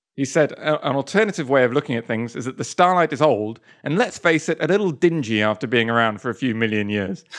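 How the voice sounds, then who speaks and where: Someone with a British accent talks at a very fast pace with lively intonation and hardly any pauses. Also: man, medium pitch for a man, quiet background. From Stratford, England. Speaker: podcast co-host, game developer. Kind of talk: casual chat podcast.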